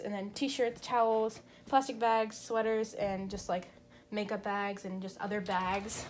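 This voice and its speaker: Her intonation stays fairly even as the woman speaks at a fairly slow pace. There is noticeable background noise. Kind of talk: casual vlog chat. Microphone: phone near.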